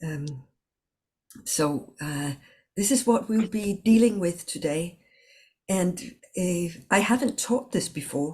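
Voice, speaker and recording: A somewhat breathy woman at medium pitch speaks at a very slow pace with lively intonation and long, frequent pauses. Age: 60s. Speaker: communication trainer and coach. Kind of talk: online workshop. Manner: halting.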